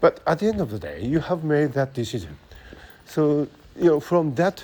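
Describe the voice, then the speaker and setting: With a Japanese accent, a man speaks at a fairly slow pace. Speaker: podcaster talking about brain science. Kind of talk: casual monologue. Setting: outdoors, walking in city. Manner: halting, many fillers.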